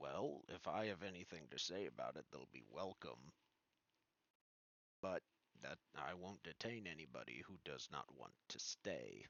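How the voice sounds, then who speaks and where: A man does a raspy put-on character voice, very deep and low in pitch. He keeps a moderate pace broken by long, frequent pauses. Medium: actual play.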